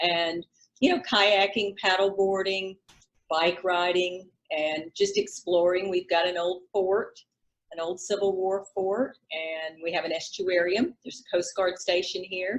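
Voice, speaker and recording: A woman with a South Carolina accent, fairly even intonation. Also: medium pitch for a woman, fairly slow pace. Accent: Southern, South Carolina. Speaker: realtor. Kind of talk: interview.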